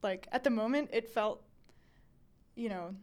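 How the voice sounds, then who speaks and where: Her voice a normal speaking voice, a woman with an American accent talks at a moderate pace, fairly high in pitch, with lively intonation. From US South, Raleigh, North Carolina. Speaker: graduate student. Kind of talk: interview storytelling.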